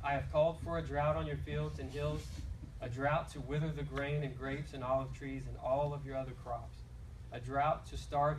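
A man talks fairly quickly against light background noise. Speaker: scripture reader. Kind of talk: scripture reading. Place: church. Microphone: handheld.

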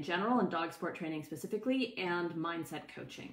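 A woman speaks with ordinary pitch variation. There is audible room echo. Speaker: dog sport training coach. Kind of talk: casual educational talk to camera. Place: home room. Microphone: phone near.

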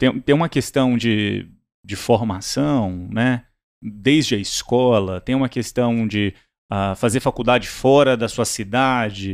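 The speaker talks at a very slow pace, and the background is quiet. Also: man, medium pitch for a man, ordinary pitch variation. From Brazil, Minas Gerais then Brasília. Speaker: startup CEO; podcast guest. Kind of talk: interview. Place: studio. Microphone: studio mic.

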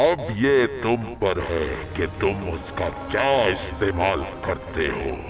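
Over loud background noise, a man puts on a character voice with a solemn tone, a fairly low pitch and a fairly slow pace. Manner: imperious, solemn, impatient.

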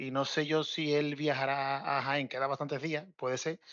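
A man speaks in a flat, monotone way. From Cádiz, Spain. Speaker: football fan guest. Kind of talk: casual chat.

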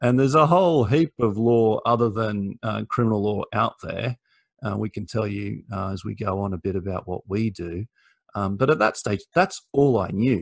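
A man with an Australian accent speaks at a fairly low pitch and moderate pace, with ordinary pitch variation. The sound is dry with no echo, over a quiet background. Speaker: lawyer. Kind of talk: career talk to students. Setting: video call. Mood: warm, relaxed, encouraging. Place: home room. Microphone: video call.

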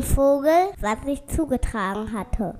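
Over faint music in the background, a woman speaks slowly in a high pitch with a dark, mellow tone.

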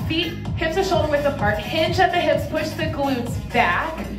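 Clear music plays behind a woman as she talks. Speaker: fitness coach. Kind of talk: workout tutorial instruction. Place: gym.

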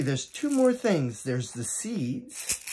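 Noticeable background noise sits behind this man. His pitch is fairly high and his pace fairly slow. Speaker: educator and teaching artist. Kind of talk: children's storytelling with music. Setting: video for students, instruments at hand. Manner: warm, animated, gentle storyteller pacing. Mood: warm, friendly. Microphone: phone near.

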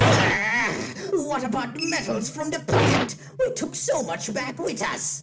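Loud music plays in the background as a cartoonish character voice, fairly high-pitched, speaks at a fairly slow pace. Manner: impatient, snappy.

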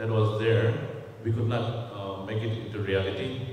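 In a room with strong echo and light background noise, a man talks with fairly even intonation. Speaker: fashion brand head. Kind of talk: press conference. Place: hall.

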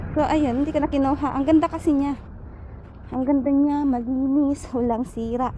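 A woman speaks in a dark, mellow tone at a high pitch. Her pace is moderate. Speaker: vlogger. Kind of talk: casual vlog narration. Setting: outdoors. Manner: animated.

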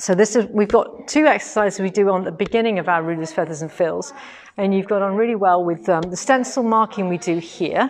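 A woman at a fairly quick pace, ordinary pitch variation, light background noise behind her. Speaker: quilting workshop teacher. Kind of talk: casual live stream commentary. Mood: cheerful, laughing. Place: shop. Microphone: phone near.

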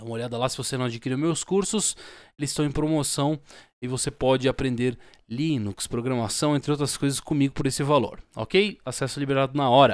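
A man with a Brazilian accent talks at a moderate pace and fairly high pitch, with ordinary pitch variation. The sound is dry with no echo over a quiet background. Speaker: YouTuber selling own stickers. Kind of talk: street-vendor-style sales pitch. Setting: home video recording, showing stickers to camera. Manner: animated, pitchy, repeating 'tá?' and praising the product. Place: home room. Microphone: studio mic.

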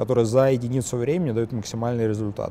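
This man's voice sits at a medium pitch, with a dark, mellow tone and ordinary pitch variation.

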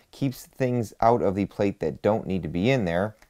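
With a dark, mellow tone, a man speaks using normal pitch variation. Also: quiet background. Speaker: channel host. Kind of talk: product review commentary. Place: home room.

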